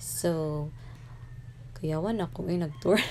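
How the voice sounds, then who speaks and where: Over light background noise, a woman with a fairly low pitch and an ordinary speaking voice talks at a fairly slow pace. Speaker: vlogger passenger. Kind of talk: casual vlog chat. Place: car. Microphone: phone near.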